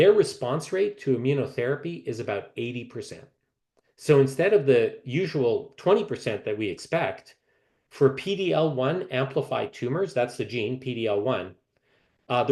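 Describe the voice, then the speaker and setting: A man's fairly high, somewhat breathy voice has a dark, mellow tone and lively intonation. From Canada. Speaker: medical oncologist. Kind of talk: lecture. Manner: halting, many fillers.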